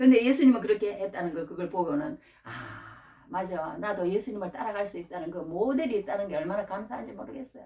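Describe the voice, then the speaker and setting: Talking at a very fast pace with a Gyeongsang accent, a woman at medium pitch uses lively intonation and big swings in loudness. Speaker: preacher. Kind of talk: sermon. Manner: repetitive, halting.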